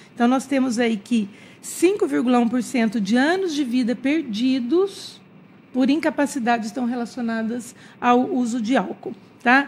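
Talking at a very slow pace with lively intonation, a woman with a high voice is heard over light background noise. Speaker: infectologist. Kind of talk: radio interview. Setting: studio. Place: studio. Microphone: studio mic.

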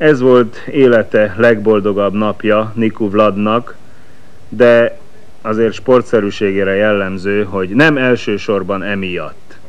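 Over noticeable background noise, a man with a fairly low pitch talks at a very slow pace in a fairly even intonation. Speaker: sports commentator. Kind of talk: live commentary.

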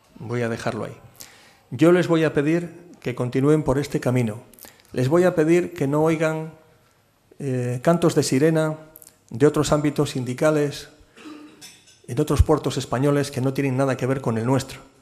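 A man with a fairly high pitch talks at a moderate pace, using fairly even intonation and long, frequent pauses. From Cantabria, Spain. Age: 50s. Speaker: port authority president. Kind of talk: keynote talk and Q&A at business forum. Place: hall. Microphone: podium.

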